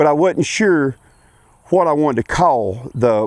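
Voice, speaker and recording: A man speaks at a fairly high pitch with ordinary variation, in a dry, close sound with no echo. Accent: American. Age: 40s. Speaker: racing vlogger and farmer. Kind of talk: casual vlog introduction. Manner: halting, with many fillers.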